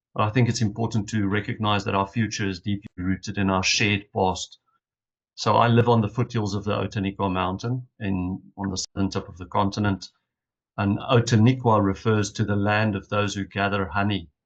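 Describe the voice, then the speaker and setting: With a South African accent, a man speaks at a fairly quick pace. His fairly low voice stays monotone and flat. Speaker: leadership initiative representative. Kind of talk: conference opening reflection. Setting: video call from hotel room. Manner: formal.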